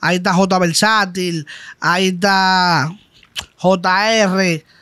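Over a quiet background, a man projects a raised, high-pitched voice with a bright, sharp tone and flat, monotone intonation. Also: dry sound with no echo. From Dominican Republic. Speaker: trap artist; guest. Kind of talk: casual interview. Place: studio. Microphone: studio mic.

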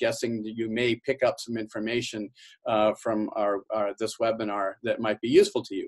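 A man talks over a quiet background, keeping a moderate pace. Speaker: university professor presenting. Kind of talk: webinar lecture. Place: office. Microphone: webcam.

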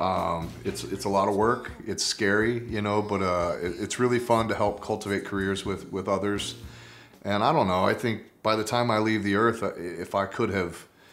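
With fairly even intonation, a man delivers his words at a moderate speed. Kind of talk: interview answer. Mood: relaxed, reflective. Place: home room.

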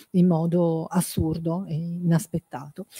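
Somewhat breathy, the voice carries a dark, mellow tone, with a dry sound with no echo and a quiet background. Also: woman. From Piedmont, Italy (Alessandria); Piedmont, Italy. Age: 50s. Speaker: academic and journalist; journalist. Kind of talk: talk; book presentation talk. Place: hall. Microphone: podium.

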